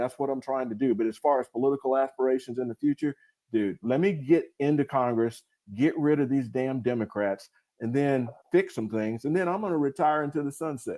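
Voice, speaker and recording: A man with a Southern US accent talks at a fairly quick pace. His medium pitch has a dark, mellow tone and ordinary pitch variation. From US South, rural North Carolina. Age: 60s. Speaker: retired military officer and congressional candidate. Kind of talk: live stream interview. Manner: casual, animated.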